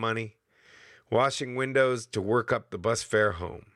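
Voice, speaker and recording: This man has a bright, sharp tone, captured in a very clean recording with a silent background. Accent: American. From US Northeast. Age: 50s. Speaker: podcast host. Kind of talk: scripted narration; casual chat.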